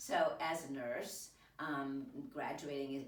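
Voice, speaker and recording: There is audible room echo and noticeable background noise as a woman speaks in a very deep, low voice. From Italy. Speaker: entrepreneur, nurse practitioner. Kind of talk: interview.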